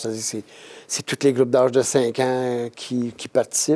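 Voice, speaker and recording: Moving at a moderate pace, the voice carries a dark, mellow tone. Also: man. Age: 70s. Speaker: retired triathlete. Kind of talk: casual chat. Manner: halting.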